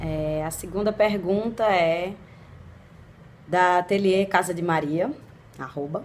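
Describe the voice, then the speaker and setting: A very slow voice in a northeastern Brazilian accent, with long, frequent pauses, ordinary pitch variation and noticeable background noise. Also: woman, medium pitch for a woman. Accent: Brazilian northeastern (nordestino). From Northeast Brazil, Recife (partly raised in Portugal). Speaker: blogger and vlogger. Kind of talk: casual Q&A vlog.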